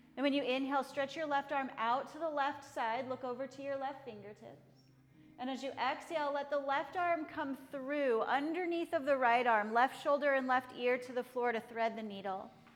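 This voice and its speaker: With music playing in the background, a woman with an American accent talks at a moderate pace in a high pitch and fairly even intonation. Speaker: yoga teacher. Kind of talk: guided yoga class with calm spoken cues. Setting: studio class with students. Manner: calm, steady, instructional, precise.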